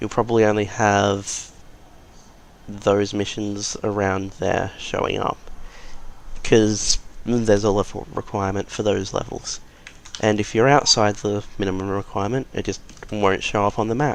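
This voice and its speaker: A man's fairly low voice at a moderate pace, with monotone, flat intonation and long, frequent pauses. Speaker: gaming channel host. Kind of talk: game tutorial voice-over. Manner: casual, conversational.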